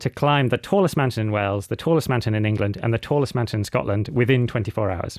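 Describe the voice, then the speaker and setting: A man with a British accent, very fast pace, ordinary pitch variation. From UK. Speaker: adventurer and mountaineer. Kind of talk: radio interview. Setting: radio studio.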